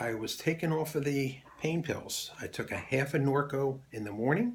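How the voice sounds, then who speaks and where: A man's somewhat breathy, medium-pitched voice with ordinary pitch variation. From Philadelphia, US. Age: 70s. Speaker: Air Force veteran. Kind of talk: testimony.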